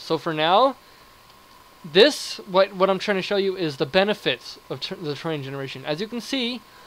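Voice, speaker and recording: Noticeable background noise surrounds a man with a high pitch. He talks at a fairly quick pace, and his loudness swings widely. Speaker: gaming video creator. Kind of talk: gameplay commentary. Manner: fast; animated.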